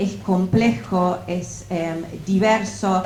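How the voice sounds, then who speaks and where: Noticeable background noise plus audible echo from the room. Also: woman. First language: English (speaking Spanish). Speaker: political science professor. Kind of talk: academic book presentation. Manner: halting, many fillers.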